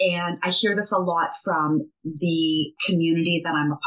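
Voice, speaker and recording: A woman speaks at a fairly low pitch. Hers is an unremarkable speaking voice. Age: 50s. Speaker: skincare entrepreneur. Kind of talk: interview.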